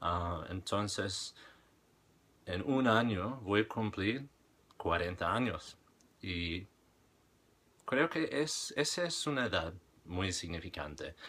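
Very slowly and with long, frequent pauses, a man with a fairly low pitch, a bright, sharp tone and lively intonation speaks. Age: 30s. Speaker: language-learning vlogger. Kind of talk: casual monologue vlog. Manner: halting, many fillers. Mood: reflective, calm. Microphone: webcam.

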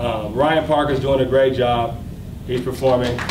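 Noticeable background noise sits behind a man's medium-pitched voice. He talks at a moderate pace with an American accent. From Oklahoma, US. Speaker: fashion designer and brand founder. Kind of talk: speech at launch party. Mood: grateful, upbeat. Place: hall. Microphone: podium.

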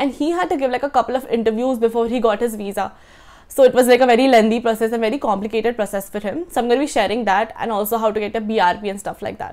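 At a very fast pace, a woman speaks with ordinary pitch variation. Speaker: student vlogger. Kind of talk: informational vlog talk. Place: home room. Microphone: lapel.

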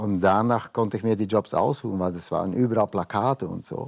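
Against a quiet background, a man speaks with a fairly low pitch and ordinary pitch variation. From Belgium. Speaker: painter, former model; guest. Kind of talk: casual talk show interview. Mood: relaxed, reflective. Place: studio. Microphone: lapel.

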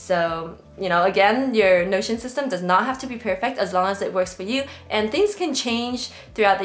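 Speaking at a fairly quick pace, the woman shows ordinary pitch variation. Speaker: productivity creator. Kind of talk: tutorial. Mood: friendly, upbeat. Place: home room.

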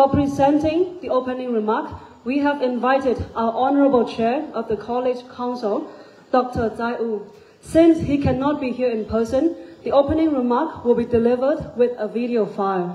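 With ordinary pitch variation, a woman delivers her words in a high pitch. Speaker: master of ceremonies. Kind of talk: ceremony announcements. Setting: stage with audience. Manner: formal. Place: hall. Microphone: pa.

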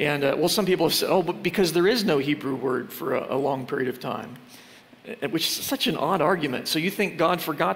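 At a very fast pace, a man talks with fairly high pitch and ordinary pitch variation, with noticeable background noise. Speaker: creationist speaker. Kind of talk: sermon. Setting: church. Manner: fast talker.

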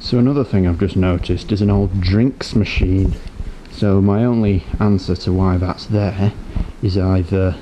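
A plain, everyday voice: a man with a fairly low pitch and fairly even intonation talks at a moderate pace. Light background noise is present. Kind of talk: casual vlog narration. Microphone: phone near.

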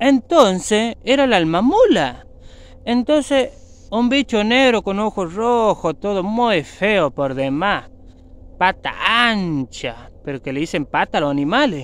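A man's high-pitched, dramatic voice at a very slow pace, with very wide swings in pitch and a dry sound free of echo. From Argentina. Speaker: YouTuber and mechanic. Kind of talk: ghost story telling, spooky legend told to camera. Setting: outdoors in the woods. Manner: dramatic, hushed suspense with sound effects, repeating 'amigos'; slow, repetitive, conversational. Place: forest. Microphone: phone near.

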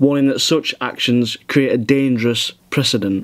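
Using fairly even intonation at a moderate pace, a man with a fairly high pitch talks in a Yorkshire accent. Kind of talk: reading a news article aloud.

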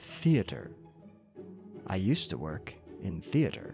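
Soft-spoken, a man with an American accent talks very slowly in a very deep, low voice. Clear music plays in the background. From Northern California. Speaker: ASMR creator. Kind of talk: ASMR accent tag, word list reading. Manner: soft-spoken, relaxing. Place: home room. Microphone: studio mic.

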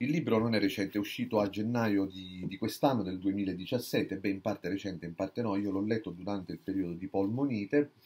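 The voice has a dark, mellow tone and moves at a fairly quick pace with hardly any pauses. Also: man, fairly low pitch for a man, ordinary pitch variation. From Sicily, Catania. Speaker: book reviewer. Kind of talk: book review monologue. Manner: halting, many fillers and restarts. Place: home room. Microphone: webcam.

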